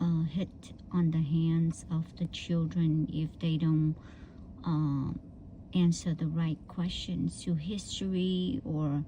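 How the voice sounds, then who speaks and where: A very slow, somewhat breathy voice with a dark, mellow tone, a Vietnamese accent and monotone, flat intonation. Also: woman. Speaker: vlogger. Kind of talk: casual personal storytelling. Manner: halting, many fillers.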